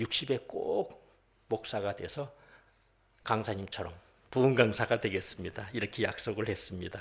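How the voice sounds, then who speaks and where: Pitch varies in an ordinary way, and the voice is somewhat breathy. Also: man. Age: 60s. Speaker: pastor, former prosecutor. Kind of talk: sermon with personal testimony. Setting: worship service.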